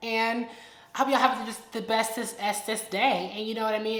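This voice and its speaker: With an animated tone and a fairly high pitch, a woman talks at a very fast pace amid audible room echo and noticeable background noise. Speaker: influencer, storytime YouTuber. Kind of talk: casual vlog chat.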